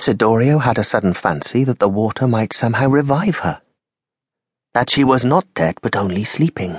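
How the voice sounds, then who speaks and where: A man with a plain, everyday voice talks at a moderate pace and a medium pitch, with lively intonation. The sound is dry and close with no echo, over a quiet background. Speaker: audiobook narrator. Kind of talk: dramatic audiobook narration of a vampire-pirate adventure.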